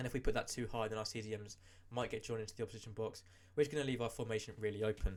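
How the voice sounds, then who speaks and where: The man speaks at a very fast pace with fairly even intonation. His voice is somewhat breathy. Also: medium pitch for a man. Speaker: gaming youtuber. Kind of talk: tutorial.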